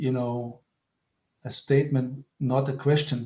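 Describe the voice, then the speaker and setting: A man's fairly high voice in a monotone, flat delivery at a fairly slow pace, with a non-native accent. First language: not English. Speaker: workshop participant. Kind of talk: online group discussion.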